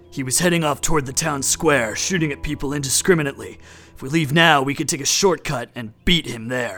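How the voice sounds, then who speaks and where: A man puts on a character voice with a fairly high pitch and ordinary pitch variation. He talks at a fairly quick pace with music in the background. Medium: audio drama. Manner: terse, literal, deadpan.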